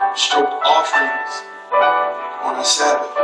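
Amid loud background noise and audible room echo, a man talks at a fairly slow pace. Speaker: spoken word poet. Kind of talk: spoken word poetry performance over piano. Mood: intense, sensual, rhythmic. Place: bar.

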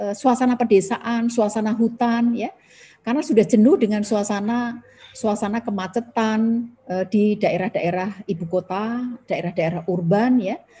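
At a moderate pace, a woman speaks in a dark, mellow, somewhat breathy tone pitched fairly high, with light background noise. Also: ordinary pitch variation. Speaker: government environmental official, webinar speaker; webinar speaker. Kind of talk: webinar presentation. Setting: video call from home. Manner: frequent fillers (ya, uh). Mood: friendly, smiling. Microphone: video call.

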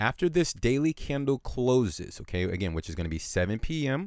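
Over a silent background in a very clean recording, a man speaks with very wide pitch swings. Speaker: crypto chart analyst. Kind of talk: market analysis tutorial. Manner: fast; harsh at times.

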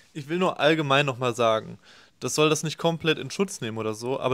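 The background stays quiet. A man speaks fairly quickly. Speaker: left-wing YouTube commentator. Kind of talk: reaction video commentary. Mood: critical, opinionated. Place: home room. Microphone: webcam.

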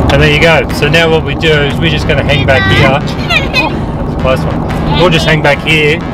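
A man at a moderate pace, music in the background, the sound dry with no echo. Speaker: travel vlogger driving. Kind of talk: casual vlog chat and tutorial. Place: car. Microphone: camera far.

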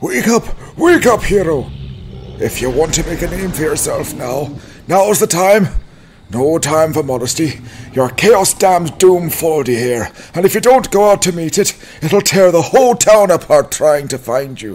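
Speaking at a moderate pace, a man uses a high pitch and lively intonation. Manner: surly, hostile, shouting.

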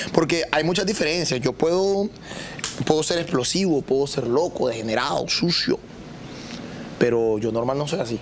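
A man at a moderate pace with ordinary pitch variation, against noticeable background noise. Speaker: comedian and content creator. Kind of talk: casual chat. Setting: studio with live audience.

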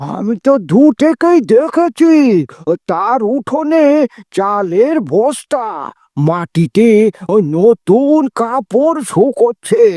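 This is a cartoonish character voice with a fairly high pitch. It moves at a very slow pace.

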